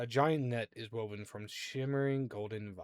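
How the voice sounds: The clip has a natural reading voice. That is what you hear.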